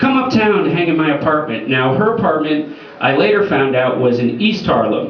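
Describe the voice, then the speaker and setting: A man talks at a fairly quick pace in a fairly high voice, his pitch swinging very widely. The room echo is audible, and background noise is noticeable. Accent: American. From United States. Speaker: comedian. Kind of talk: stand-up.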